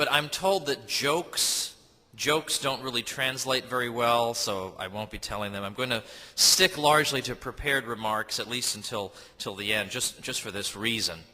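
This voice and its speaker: At a moderate pace, a normal speaking voice with an American accent carries ordinary pitch variation. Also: man, medium pitch for a man. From United States. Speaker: historian and author. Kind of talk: speech to an audience. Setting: stage with audience.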